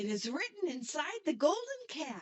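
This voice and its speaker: In a squeaky, put-on character voice, a woman speaks at a high pitch and moderate pace with very wide pitch swings. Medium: read story.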